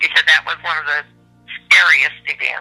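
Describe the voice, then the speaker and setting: A woman is talking while music plays behind her. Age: 70s. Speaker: grandmother interviewed about war memories. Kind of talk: oral history interview. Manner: halting, with repetitions.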